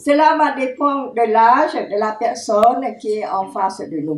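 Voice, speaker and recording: Slowly, very slowly, a woman speaks. Her voice is high in pitch, with lively intonation. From Cambodia. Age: 70s. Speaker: genocide survivor and witness. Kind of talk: testimony talk.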